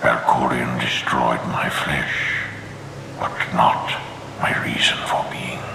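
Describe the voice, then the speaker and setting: A man whispers in a cartoonish character voice at a very slow pace, with a clear echo and loud background noise. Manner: grave, measured, authoritative.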